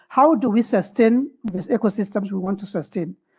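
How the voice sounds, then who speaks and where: Her voice is somewhat breathy, a woman with a dark, mellow tone heard over a quiet background. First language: French. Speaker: webinar participant asking a question. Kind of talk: question in online webinar discussion. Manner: halting.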